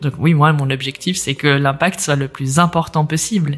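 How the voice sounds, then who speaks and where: Background music plays throughout. A woman talks at a moderate pace. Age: 30s. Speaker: entrepreneur and accessibility coach. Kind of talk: interview.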